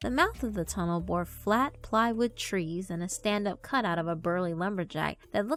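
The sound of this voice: Pitch varies in an ordinary way as someone reads in an unforced voice.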